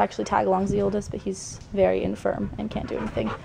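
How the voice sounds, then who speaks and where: With an American accent, a woman talks at a fairly quick pace over noticeable background noise. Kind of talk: casual vlog to camera.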